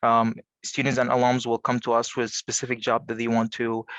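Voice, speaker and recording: Against a quiet background, a man with an Arabic accent speaks in a flat monotone, the sound dry and close with no echo. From Egypt. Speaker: college career services coordinator. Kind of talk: panel presentation. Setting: video call.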